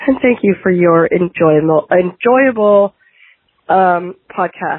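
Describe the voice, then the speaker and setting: With a Canadian accent, a woman speaks very slowly at a medium pitch and with ordinary pitch variation. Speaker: caller leaving voicemail. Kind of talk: recorded voicemail message.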